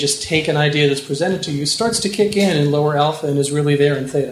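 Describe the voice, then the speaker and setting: Somewhat breathy and fairly high-pitched, the man talks at a very fast pace. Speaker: hypnotist and author. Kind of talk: live interview. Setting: stage with audience. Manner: animated, varied pitch when using trance voice.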